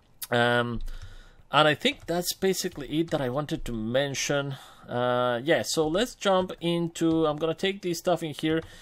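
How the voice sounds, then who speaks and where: In a very clean recording with a silent background, a man talks at a moderate pace, his fairly high pitch showing ordinary variation. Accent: non-native. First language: not English. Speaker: gaming youtuber. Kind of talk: gameplay commentary. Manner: casual, hesitant with many fillers.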